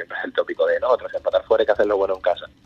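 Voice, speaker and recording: A man speaks over noticeable background noise. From Ubrique, Andalusia. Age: 20s. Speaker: professional footballer. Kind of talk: phone interview.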